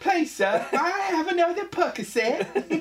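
An extremely high put-on character voice at a fairly slow pace. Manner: pleading.

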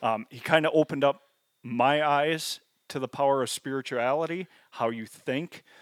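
A man with a fairly high pitch speaks at a moderate pace in an unremarkable speaking voice, his intonation fairly even but with big swings in loudness. The recording is very clean with a silent background, a dry, close sound with no echo. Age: 40s. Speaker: habitat consultant and hunter. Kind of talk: casual chat.

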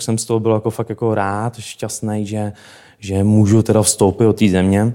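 A man with a plain, everyday voice speaks at a moderate pace and a medium pitch. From Czech Republic, Šumava region. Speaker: travel entrepreneur. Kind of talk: interview.

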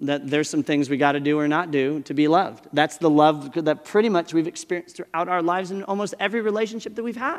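With an ordinary speaking voice, a man talks at a fairly quick pace in a fairly high pitch, using ordinary pitch variation. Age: 40s. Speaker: pastor. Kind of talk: sermon.

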